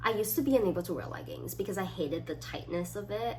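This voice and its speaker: Very fast speech from a woman, amid noticeable background noise and audible room echo. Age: 20s. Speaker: student YouTuber. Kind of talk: casual vlog, reading quiz items aloud. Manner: animated, uses hands.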